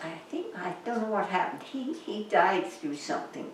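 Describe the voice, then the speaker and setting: Noticeable background noise fills the recording. Over it, a woman's intonation is lively. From England. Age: old. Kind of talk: interview answer. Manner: hesitant.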